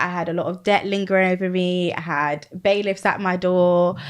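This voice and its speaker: A woman speaks with a British accent at a medium pitch. The background is quiet. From UK. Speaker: Amazon seller and business coach. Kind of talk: podcast interview.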